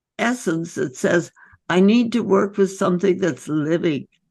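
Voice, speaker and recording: Vocal fry runs through this voice, which has ordinary pitch variation over a quiet background. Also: woman. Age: 80s+. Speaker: physician. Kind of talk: interview answer.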